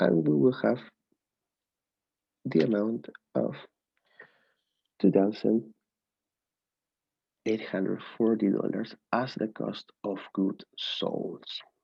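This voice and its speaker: Speaking in a non-native accent, a man talks at a very slow pace with long, frequent pauses. His pitch is fairly low. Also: lively intonation. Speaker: student. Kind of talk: tutorial. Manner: halting.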